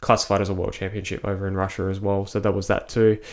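In an Australian accent, a man with a fairly low pitch talks at a very fast pace on a very clean recording with a silent background. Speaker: personal trainer and ninja warrior athlete. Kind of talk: casual interview.

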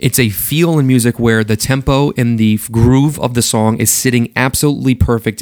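A man speaks at a fairly quick pace with a medium pitch and ordinary pitch variation, recorded with a dry, close sound and no echo. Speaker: music director of an event music company. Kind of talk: interview. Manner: intense.

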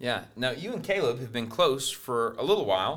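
A man with an unremarkable speaking voice talks at a moderate pace in a medium pitch, his intonation lively. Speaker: podcast host. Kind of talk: casual interview.

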